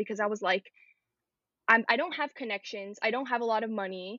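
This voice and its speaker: A woman with an American accent speaks in a plain, everyday voice. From New York City, Queens. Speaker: fashion design student. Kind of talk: casual chat.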